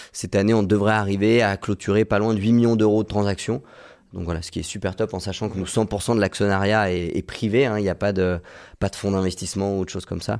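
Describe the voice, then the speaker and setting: Very fast and in a monotone, flat intonation, a man speaks at a fairly low pitch on a very clean recording with a silent background. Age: 20s. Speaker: medical intern and real estate investor. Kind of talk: podcast interview.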